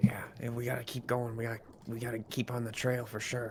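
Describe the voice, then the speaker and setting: Clear background noise sits behind a man doing a put-on character voice at a medium pitch. He moves at a fairly quick pace with monotone, flat intonation. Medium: actual play.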